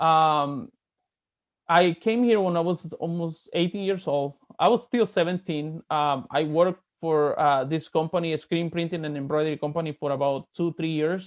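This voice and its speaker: Here a man talks with a fairly high pitch and ordinary pitch variation. He keeps a moderate pace. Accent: Spanish. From Mexico, Veracruz. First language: Spanish. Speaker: real estate agent. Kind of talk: casual chat.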